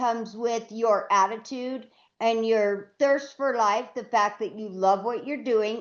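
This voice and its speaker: An unremarkable speaking voice belongs to a woman with a fairly high pitch. She talks at a fairly slow pace against a quiet background. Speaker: podcast co-host. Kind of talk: interview question.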